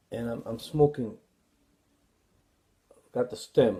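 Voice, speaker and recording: Speaking at a fairly slow pace, a man has a dark, mellow tone. His voice carries vocal fry. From New York City. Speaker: author, former addict and ex-prisoner. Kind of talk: personal life story told to camera.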